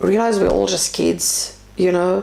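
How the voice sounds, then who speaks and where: A woman with a South African accent speaks at a fairly slow pace, her pitch swinging very widely. Noticeable background noise and audible room echo fill the recording. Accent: Afrikaans South African English. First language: Afrikaans. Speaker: interview guest. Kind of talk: casual interview conversation.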